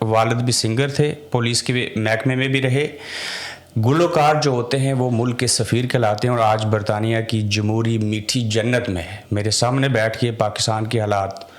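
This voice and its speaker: Over noticeable background noise, a man speaks at medium pitch with fairly even intonation and very even loudness. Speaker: podcast host. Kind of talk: podcast interview questions.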